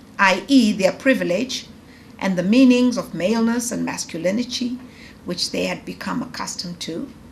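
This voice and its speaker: A woman at a medium pitch, talking at a moderate pace with ordinary pitch variation and big swings in loudness, amid noticeable background noise and audible room echo. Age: 50s. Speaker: professor. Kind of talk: lecture. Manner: conversational with fillers and false starts; formal, read from prepared text.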